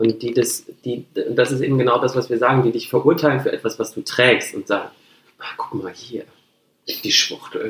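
Long, frequent pauses break up a man's speech at a moderate pace. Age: 30s. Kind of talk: casual chat.

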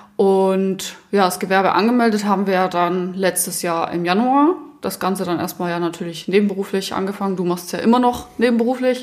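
A woman at medium pitch talks with ordinary pitch variation at a fairly quick pace. She has hardly any pauses, and background noise is noticeable. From southern Germany, Allgäu. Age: 20s. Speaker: company co-founder. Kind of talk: casual chat.

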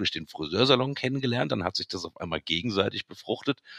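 This is a man speaking with ordinary pitch variation. His voice sounds dry and close, with no echo. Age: 40s. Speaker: hairdresser and DJ. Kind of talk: casual chat. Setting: remote recording at home.

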